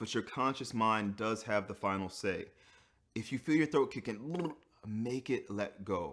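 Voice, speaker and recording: Speaking rather slowly, a man lets his pitch rise and fall in a typical way. The background is silent and the recording very clean. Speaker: voice teacher. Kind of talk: tutorial.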